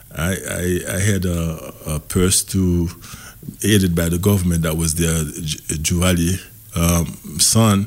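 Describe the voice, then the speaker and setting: A man with a Haitian accent, very deep, low pitch, fairly even intonation and a very slow pace. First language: Haitian Creole. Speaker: community organization representative. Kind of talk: radio interview. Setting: radio studio.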